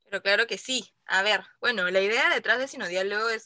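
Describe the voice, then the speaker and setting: A woman speaks at a fairly quick pace with a fairly high pitch and ordinary pitch variation. Her tone is bright and sharp, with a dry, close sound and no echo. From Peru. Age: 20s. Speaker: podcast co-host. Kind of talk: casual chat.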